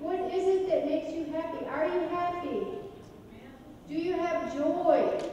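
In a room with strong echo and light background noise, a woman speaks fairly slowly at an extremely high pitch, her intonation fairly even and broken by long, frequent pauses. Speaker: evangelism teacher. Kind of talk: interactive class-style sermon with audience questions, ending in prayer. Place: church.

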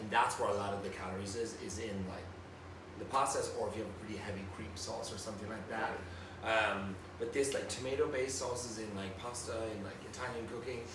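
Noticeable background noise and audible room echo around a man with a fairly low pitch at a very fast pace. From Ireland, County Tipperary. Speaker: celebrity chef. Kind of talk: casual chat. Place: home room.

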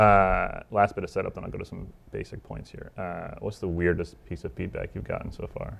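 A man talks at a fairly quick pace with hardly any pauses. His loudness swings widely. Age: 40s. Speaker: event moderator. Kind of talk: moderated book talk. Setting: stage with audience. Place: stage. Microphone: lapel.

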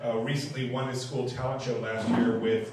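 Quick-paced, a man is speaking with light background noise. The room echo is audible. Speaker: open mic host. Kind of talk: stage introduction. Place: stage.

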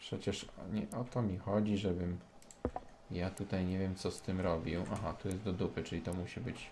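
With a Polish accent, a man talks at a moderate pace in a very deep, low pitch, with fairly even intonation and long, frequent pauses. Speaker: gaming youtuber. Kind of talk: casual gameplay commentary.

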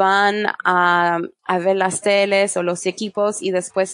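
Her voice is of medium pitch with a French accent and a monotone, flat intonation. The woman's sound is dry and close with no echo, over a quiet background. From France. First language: French (speaking Spanish). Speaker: e-commerce marketing specialist. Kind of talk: interview. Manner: halting.

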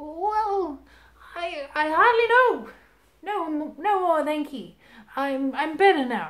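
A woman puts on a squeaky character voice at an extremely high pitch. She speaks in a raised, projected voice.

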